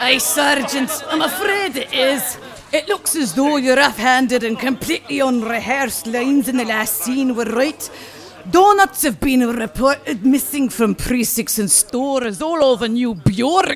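Clear background noise runs under a gruff, put-on character voice that is high-pitched, with lively intonation and a moderate pace. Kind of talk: comic overacting. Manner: bold, rousing, gruff.

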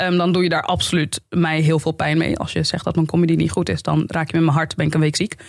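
A woman speaks at a very fast pace. The background is quiet. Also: hardly any pauses. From Amsterdam Bijlmer, Netherlands; Netherlands. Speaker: YouTuber and comedian; podcast guest, comedian. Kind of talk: podcast interview. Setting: studio. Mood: earnest, reflective. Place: studio. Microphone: studio mic.

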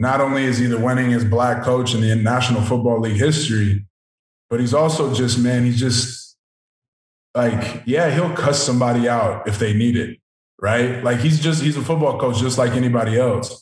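Audible room echo surrounds a man who speaks at a moderate pace with very even loudness and fairly even intonation. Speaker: professional football player. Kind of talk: interview. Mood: relaxed, admiring. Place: home room. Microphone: video call.

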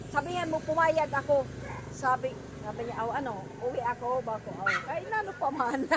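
Through noticeable background noise, a woman talks at a fairly quick pace with very wide pitch swings. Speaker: vlogger. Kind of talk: casual vlog chat. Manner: animated, laughing often.

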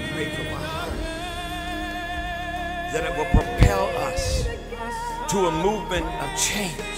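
A man talks at a very slow pace. Loud background noise runs under his voice. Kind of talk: eulogy sermon. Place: church.

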